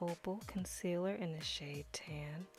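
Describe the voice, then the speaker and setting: Speaking at a fairly slow pace, a woman with a fairly low pitch sounds somewhat breathy. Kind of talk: makeup tutorial talking to camera. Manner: instructional, casual, friendly.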